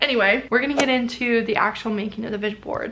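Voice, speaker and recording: A woman's fairly high, animated voice at a very fast pace. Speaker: lifestyle vlogger. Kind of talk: casual tutorial to camera.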